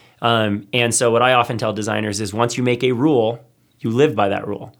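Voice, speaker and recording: At a fairly quick pace, a man with a medium pitch speaks in an unremarkable speaking voice, captured in a very clean recording with a silent background. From US South, then Hawaii. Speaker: creative agency founder, designer. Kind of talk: casual studio interview. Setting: studio.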